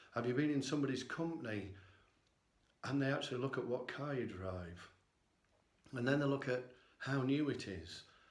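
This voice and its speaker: A man at medium pitch with ordinary pitch variation, moderate pace and long, frequent pauses, amid noticeable background noise and audible room echo. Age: 60s. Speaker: vlogger. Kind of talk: personal vlog monologue.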